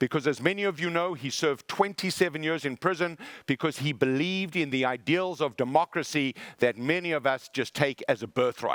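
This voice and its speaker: The speaker uses a South African accent and an animated tone at a fairly quick pace. The sound is dry and close, with no echo. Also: man, fairly high pitch for a man, ordinary pitch variation. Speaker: motivational speaker. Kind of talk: keynote speech.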